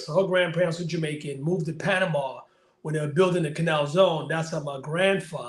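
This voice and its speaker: A man with a New York accent speaks at a high pitch and a fairly quick pace. His intonation is fairly even, and audible room echo fills the recording. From Bushwick, Brooklyn, New York. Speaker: life coach. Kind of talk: interview.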